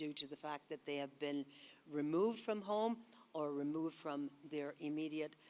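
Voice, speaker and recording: A woman speaks at a fairly quick pace in a very deep, low pitch. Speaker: psychologist. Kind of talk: conference talk. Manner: hesitant, many fillers.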